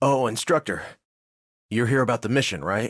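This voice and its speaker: Recorded dry and close with no echo, a raspy put-on character voice moves at a moderate pace with lively intonation. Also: man, medium pitch for a man. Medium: video game.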